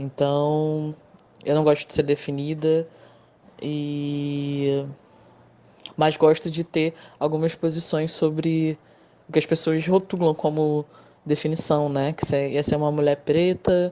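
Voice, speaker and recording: Monotone and flat, a woman's very deep, low voice with a dark, mellow tone moves at a fairly slow pace with long, frequent pauses. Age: 30s. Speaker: poet and motorcycle courier. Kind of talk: interview.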